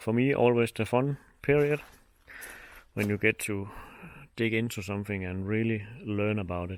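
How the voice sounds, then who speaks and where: A man speaks at a fairly low pitch and a moderate pace with ordinary pitch variation. He leaves long, frequent pauses in a very clean recording with a silent background. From Denmark. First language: Danish. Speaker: motorcycle hobbyist vlogger. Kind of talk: casual vlog commentary.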